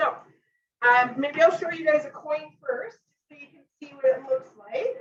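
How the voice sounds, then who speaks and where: Her pitch is high, and this woman's voice makes very wide pitch swings. Her loudness swings widely too. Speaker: cooking demonstrator, kitchen product consultant. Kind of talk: live cooking demonstration. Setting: home kitchen live stream. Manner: casual, filler-heavy.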